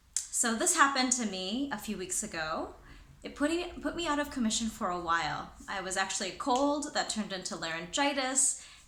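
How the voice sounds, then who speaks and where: A high-pitched woman at a fairly quick pace with very wide pitch swings, over noticeable background noise. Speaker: corporate trainer and presenter. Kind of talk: casual talk to camera.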